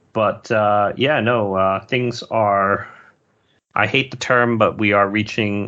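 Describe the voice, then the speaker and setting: Bright and sharp in tone, a man with an American accent speaks at a fairly low pitch with fairly even intonation. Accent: sounds American. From Singapore. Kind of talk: interview conversation. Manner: halting with repeated words.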